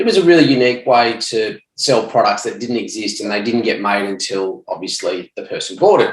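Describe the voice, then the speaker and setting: In an Australian accent, this man talks with a medium pitch. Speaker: ecommerce entrepreneur, former police detective. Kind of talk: podcast interview.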